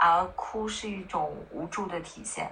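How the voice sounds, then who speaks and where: The pitch varies in an ordinary way. It is a normal speaking voice. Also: woman. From northern China. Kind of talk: casual chat.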